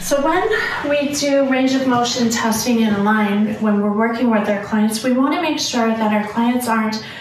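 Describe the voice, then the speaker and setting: With light background noise and an audible echo from the room, a woman talks at a moderate speed. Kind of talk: demonstration tutorial. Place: home room. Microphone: camera far.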